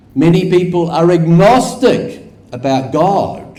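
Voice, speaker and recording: Audible room echo surrounds a man speaking at a fairly high pitch with a New Zealand accent. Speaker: academic researcher. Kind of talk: conference lecture.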